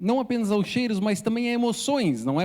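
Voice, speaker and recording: This man speaks with ordinary pitch variation and a dark, mellow tone. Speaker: missionary preacher. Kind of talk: sermon. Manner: halting, many repetitions and fillers.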